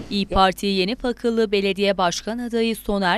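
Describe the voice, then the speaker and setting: In a very clean recording with a silent background, a woman with a plain, everyday voice speaks at a medium pitch and a moderate pace, her intonation fairly even. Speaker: news reporter. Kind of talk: news narration.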